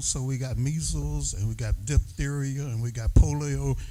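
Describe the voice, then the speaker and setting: Noticeable noise sits in the background. Over it, a man talks at a moderate speed. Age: 80s+. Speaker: community member. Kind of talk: public comment at community meeting.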